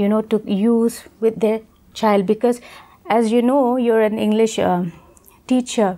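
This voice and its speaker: A woman with an Indian accent speaks at a fairly slow pace in a fairly high voice, with fairly even intonation. She takes long, frequent pauses, and her loudness stays very even. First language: Khasi. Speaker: deaf education expert. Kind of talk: educational interview. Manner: halting.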